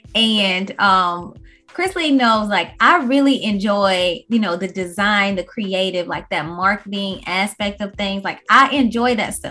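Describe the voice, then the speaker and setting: A woman at a medium pitch and fairly slow pace, with ordinary pitch variation, hardly any pauses, and music in the background. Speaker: podcast host. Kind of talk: casual chat.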